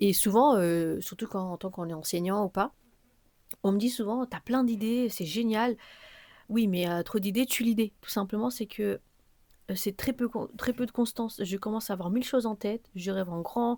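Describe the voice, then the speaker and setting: The dark, mellow tone comes through on a very clean recording with a silent background. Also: woman, fairly high pitch for a woman, ordinary pitch variation. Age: 20s. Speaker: podcaster. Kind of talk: solo personal podcast monologue. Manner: fast, many fillers.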